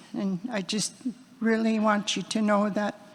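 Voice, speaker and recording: A woman speaks at a fairly high pitch with a British Columbia accent. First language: Hul'q'umi'num'. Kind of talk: blessing / prayer; personal speech. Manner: halting.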